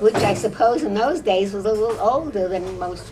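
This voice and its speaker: Against noticeable background noise, a woman with an American accent speaks at a moderate pace and medium pitch with ordinary pitch variation. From New York. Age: 80s+. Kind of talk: interview answer. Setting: quiet corner of a restaurant.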